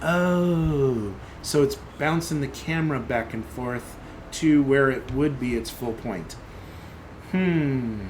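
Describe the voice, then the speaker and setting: Amid noticeable background noise and audible room echo, a man with a fairly high pitch and ordinary pitch variation speaks at a very slow pace with long, frequent pauses. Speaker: software developer live streamer. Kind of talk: live coding stream commentary. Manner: thinking aloud, halting; mumbling.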